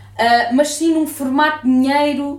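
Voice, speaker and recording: Noticeable background noise sits behind this recording. A woman talks at a fairly slow pace. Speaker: podcast host. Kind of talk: casual chat.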